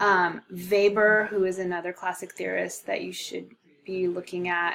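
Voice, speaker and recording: A woman speaks at a moderate pace with a normal speaking voice. Her pitch is medium. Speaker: sociology instructor. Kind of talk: recorded course lecture. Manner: casual, many filler ums.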